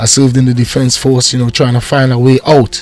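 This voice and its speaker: Noticeable background noise sits behind a man speaking. His pitch is medium and his pace fairly quick. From Trinidad and Tobago. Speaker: reggae artist. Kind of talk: interview.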